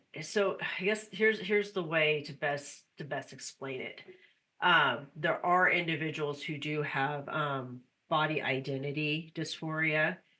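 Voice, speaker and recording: A woman speaks fairly slowly with ordinary pitch variation. Her very deep, low pitch comes with a bright, sharp tone. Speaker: podcast producer. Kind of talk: podcast conversation.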